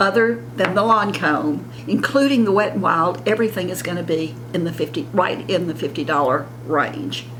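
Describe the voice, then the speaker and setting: Speaking with a Southern US accent, a woman uses a fairly low pitch, very wide pitch swings and a fairly slow pace. Audible room echo and noticeable background noise are present. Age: 70s. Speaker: beauty vlogger. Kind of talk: casual makeup tutorial.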